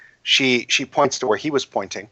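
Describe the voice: The speaker does plain reading aloud, keeping fairly even intonation.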